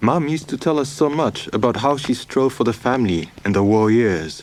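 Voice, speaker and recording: With noticeable background noise behind him, a man at a medium pitch speaks at a moderate pace with lively intonation. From Kenya. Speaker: documentary narrator. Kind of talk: narrated letter. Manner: reflective.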